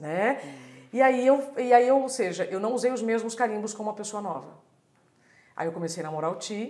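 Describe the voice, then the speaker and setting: Speaking at a fairly quick pace, a woman with a fairly high pitch uses lively intonation and big swings in loudness, with audible room echo around her. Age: 40s. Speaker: journalist and speaker. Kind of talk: casual chat.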